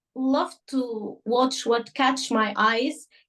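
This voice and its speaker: A woman with an Arabic accent talks in a high pitch with ordinary pitch variation. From Sudan. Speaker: journalist. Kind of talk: interview. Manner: halting, many fillers.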